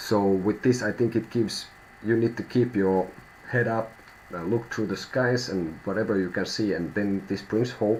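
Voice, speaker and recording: With a Finnish accent, a man speaks at a moderate pace and a fairly low pitch, keeping his intonation fairly even. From Finland. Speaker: tarot reader. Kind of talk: live stream tarot reading. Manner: halting, thinking out loud.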